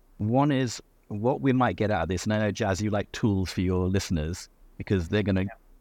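Against a quiet background, a man talks fairly quickly in an ordinary speaking voice with ordinary pitch variation. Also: dry, close sound with no echo. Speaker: dentist. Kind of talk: casual interview.

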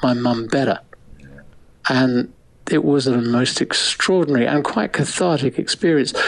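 A man with an English accent, speaking at a moderate pace. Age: 70s. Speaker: photographer and author. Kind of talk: interview.

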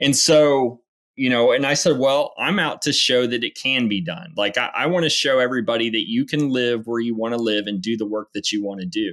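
A man with an American accent, medium pitch and a normal speaking voice, at a fairly quick pace with hardly any pauses and ordinary pitch variation. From Oklahoma (Enid). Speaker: landman, oil and gas business owner. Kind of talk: podcast interview.

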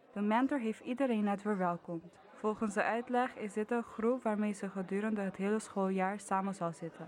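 Crowd noise fills the background while a woman talks at a moderate pace with hardly any pauses. Her medium pitch carries fairly even intonation. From Curaçao. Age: 20s. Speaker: student podcast maker. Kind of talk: scripted narration.

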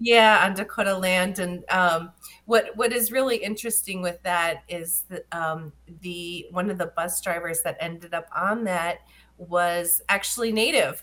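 Speaking fairly slowly with an American accent, a woman uses a medium pitch and a bright, sharp tone. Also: fairly even intonation. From Menominee Reservation, Wisconsin. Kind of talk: radio interview. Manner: halting, many ums and restarts.

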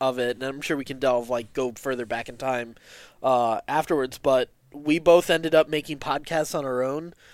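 Recorded very cleanly with a silent background, a man with an unremarkable speaking voice talks at a moderate pace, his pitch fairly high and his intonation fairly even. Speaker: podcast co-creator. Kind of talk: casual interview chat.

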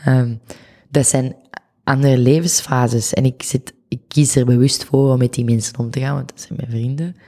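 A woman speaks at a moderate pace in a very deep, low voice with a dark, mellow tone. Her intonation stays fairly even while her loudness swings widely. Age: 20s. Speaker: photographer. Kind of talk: casual chat.

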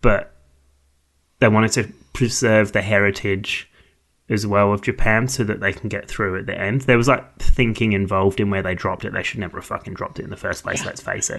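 An unremarkable speaking voice moves at a fairly quick pace with fairly even intonation. The background is quiet. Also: man, fairly low pitch for a man. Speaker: podcast co-host. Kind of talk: casual podcast discussion. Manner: joking, frequently laughing.

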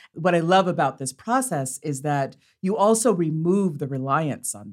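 A woman's fairly low-pitched, an unremarkable speaking voice, fairly slow and lively in intonation, on a very clean recording with a silent background. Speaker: theatre artistic director. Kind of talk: casual conversation.

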